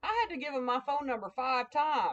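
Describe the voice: With a Southern US accent, a woman speaks at a fairly quick pace.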